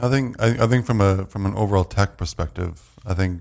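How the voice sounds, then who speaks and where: Speaking at a fairly quick pace, a man with a Canadian accent has a very deep, low pitch. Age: 40s. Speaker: tech website publisher. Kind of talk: casual chat.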